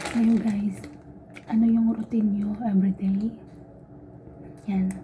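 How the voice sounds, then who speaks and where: A woman with a medium pitch talks at a fairly slow pace in a monotone, flat intonation, with noticeable background noise behind her. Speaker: vlogger, overseas domestic worker. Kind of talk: casual vlog talk. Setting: laundry room. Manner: soft-spoken, quiet.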